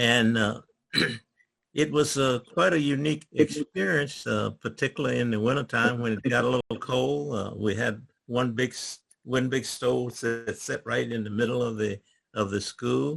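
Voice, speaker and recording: A Virginia accent with ordinary pitch variation. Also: man, medium pitch for a man, moderate pace. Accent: rural Virginia Southern. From US South, rural Virginia. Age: 80s+. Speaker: retired government worker. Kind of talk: oral history talk. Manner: stammering; halting.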